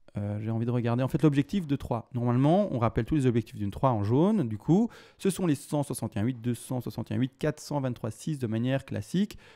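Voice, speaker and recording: Speaking at a very fast pace with hardly any pauses, a man uses a medium pitch and lively intonation in a dark, mellow tone. The recording is very clean with a silent background, and the sound is dry and close with no echo. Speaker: crypto market analyst. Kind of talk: chart analysis tutorial. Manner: halting, many fillers.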